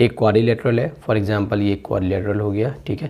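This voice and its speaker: This man's voice is pitched fairly low. It has a dark, mellow tone. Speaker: maths teacher. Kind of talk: tutorial. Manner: conversational, repetitive checks.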